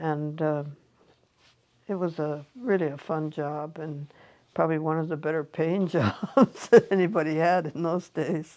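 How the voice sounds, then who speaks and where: A woman with a Western US accent, very deep and low in pitch, at a fairly slow pace with ordinary pitch variation. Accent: American, Western US. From Montana. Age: 80s+. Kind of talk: interview answer.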